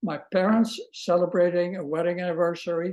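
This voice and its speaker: A man with a high pitch for a man speaks with a Dutch accent. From Netherlands, The Hague. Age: 80s+. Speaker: Holocaust survivor, retired music professor. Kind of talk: testimony. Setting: video call.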